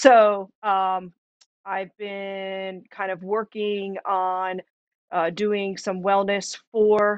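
A woman talks very slowly at a medium pitch, her intonation flat and monotone. The sound is dry with no echo, and the background is quiet. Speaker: massage therapist and wellness manager. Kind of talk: casual chat. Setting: video call. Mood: friendly, upbeat. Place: home room. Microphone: webcam.

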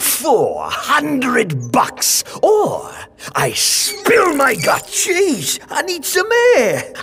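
Putting on a cartoonish character voice, a man speaks extremely high and very slowly over clear background noise.

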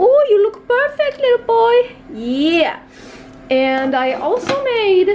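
Putting on a squeaky character voice, a woman speaks at an extremely high pitch and a very slow pace with very wide pitch swings, over clear background noise. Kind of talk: casual vlog chat. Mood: pleased, affectionate.

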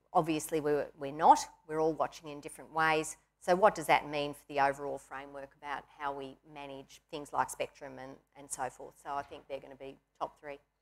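A woman with an Australian accent speaks at a fairly quick pace in a very deep, low voice, her intonation flat and monotone while her loudness swings widely. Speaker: industry association chief executive; panelist. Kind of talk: panel discussion. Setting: stage with audience. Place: studio. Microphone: lapel.

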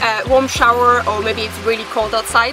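Over faint music in the background, a woman speaks in a high pitch with fairly even intonation, the sound dry with no echo. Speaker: van-life vlogger. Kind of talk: casual vlog tutorial. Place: open country.

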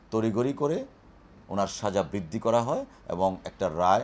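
This man has a plain, everyday voice, fairly low in pitch. His intonation is lively. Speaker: lawyer. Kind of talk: press statement.

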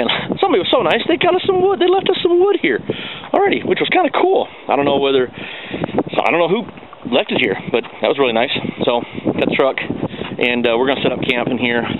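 The sound is dry, with no echo, and noticeable background noise can be heard. A man speaks very fast. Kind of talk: casual vlog chat. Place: forest. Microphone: phone near.

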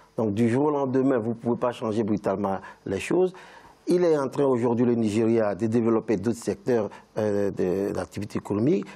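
A man at a moderate pace. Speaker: lawyer. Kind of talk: panel discussion. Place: studio. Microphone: lapel.

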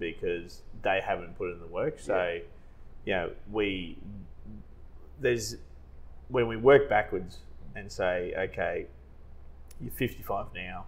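A man speaks very slowly with long, frequent pauses and big swings in loudness. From Australia. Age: 40s. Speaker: financial adviser. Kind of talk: casual chat. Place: meeting room. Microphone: lapel.

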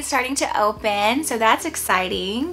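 A woman speaks at a moderate pace in a high voice. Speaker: vlogger. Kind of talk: casual vlog chat. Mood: cheerful, upbeat. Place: home room.

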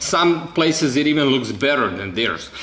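Audible room echo surrounds a man as he speaks. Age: 30s. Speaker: video creator presenting his own theories. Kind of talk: monologue explanation to camera. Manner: halting, many fillers.

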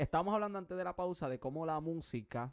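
The background stays quiet. A man talks very fast, his pitch varying in an ordinary way. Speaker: TV show host. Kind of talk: interview. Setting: studio. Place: studio. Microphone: studio mic.

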